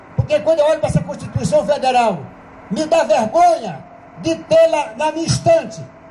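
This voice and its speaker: A man's extremely high-pitched voice with very wide pitch swings at a moderate pace, over noticeable background noise. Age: 70s. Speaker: police union member speaking at assembly. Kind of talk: assembly speech. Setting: union assembly. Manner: fiery, impassioned.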